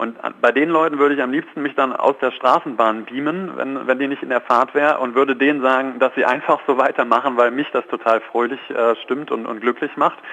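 With fairly even intonation and a fairly quick pace, a man talks while noticeable background noise runs underneath. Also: medium pitch for a man, hardly any pauses. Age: 30s. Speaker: positive psychologist and coach. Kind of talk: radio phone interview. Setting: phone call.

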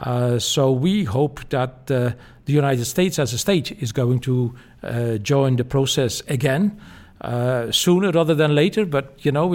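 A man with a Dutch accent talks at a moderate pace and a medium pitch. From Belgium, Flanders. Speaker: former climate policy official and professor. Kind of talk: interview.

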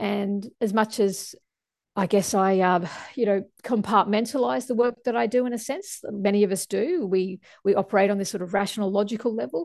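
With an Australian accent, a woman speaks at medium pitch and a moderate pace. Her pitch varies in an ordinary way, and the background is quiet. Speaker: climate scientist. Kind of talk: interview.

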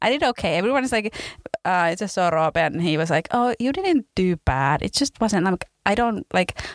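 A woman talks at a moderate pace, her pitch swinging very widely. The sound is dry and close, with no echo. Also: medium pitch for a woman, very even loudness. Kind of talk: casual interview.

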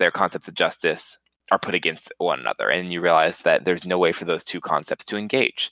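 A man speaks at a fairly quick pace in a dry, close sound with no echo. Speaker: podcast co-host, student. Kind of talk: casual chat.

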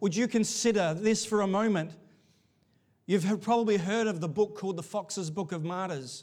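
This man's voice is loud and pitched high. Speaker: pastor. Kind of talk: sermon. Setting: church. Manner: animated, varies pitch and volume.

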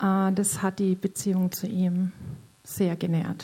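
A woman speaks at a very slow pace in a somewhat breathy voice with a dark, mellow tone. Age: 50s. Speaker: church member sharing testimony. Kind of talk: testimony. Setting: stage in church service. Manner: halting.

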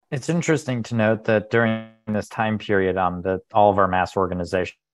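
This is an ordinary speaking voice, moving at a moderate pace with fairly even intonation. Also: man. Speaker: class participant. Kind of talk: group discussion.

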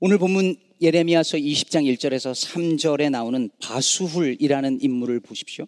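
A man with an unremarkable speaking voice talks at a moderate pace and a fairly high pitch. His pitch variation is ordinary, and the sound is dry and close with no echo. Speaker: pastor. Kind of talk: sermon. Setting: church.

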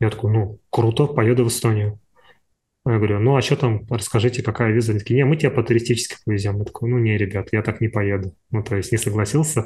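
This man's voice has a dark, mellow tone and is somewhat breathy. He speaks at a very fast pace with fairly even intonation. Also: medium pitch for a man. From Buryatia, Siberia, Russia. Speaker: motion designer and artist. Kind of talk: casual interview chat. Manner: halting, rambling, filler words.

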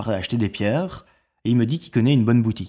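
The voice has a dark, mellow tone and a slight Belgian accent on a very clean recording with a silent background. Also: man. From Belgium. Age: 30s. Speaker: storyteller. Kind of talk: personal narrative. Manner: hesitant, many fillers.

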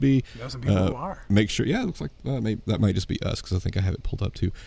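Here a man speaks at a fairly low pitch. His tone is dark and mellow. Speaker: podcast host. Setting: church studio.

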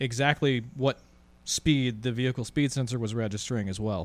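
A normal speaking voice at a moderate pace, with fairly even intonation. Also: man. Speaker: podcast co-host. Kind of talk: casual chat.

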